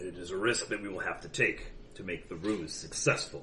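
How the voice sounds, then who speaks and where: Putting on a character voice, a man with a very deep, low pitch talks at a fairly quick pace with ordinary pitch variation and big swings in loudness, over clear background noise. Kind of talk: in-character roleplay speech. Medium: actual play. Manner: stern, formal.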